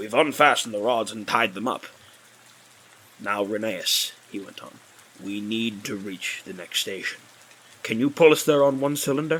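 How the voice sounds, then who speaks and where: Putting on a raspy character voice at a medium pitch, a man speaks at a moderate pace with big swings in loudness and long, frequent pauses. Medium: read story. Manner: calm, reassuring.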